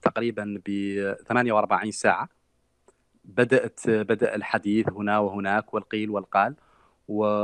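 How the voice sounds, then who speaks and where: Very slow and fairly low in pitch, a man speaks in a monotone, flat intonation, his sound dry and close with no echo. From Mauritania. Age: 30s. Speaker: human rights activist. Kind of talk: interview.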